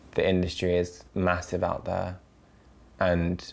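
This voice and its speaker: A man with a London accent talks at a fairly slow pace. His pitch is very deep and low. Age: 20s. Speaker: model. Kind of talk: documentary interview. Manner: casual, hesitant with fillers.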